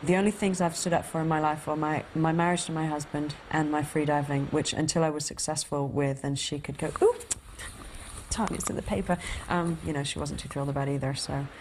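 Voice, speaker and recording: Noticeable background noise sits behind a woman's voice. Her pitch is very deep and low, and her intonation is fairly even. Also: fairly quick pace. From Cayman Islands, schooled in England. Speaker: freediver. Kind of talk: documentary interview.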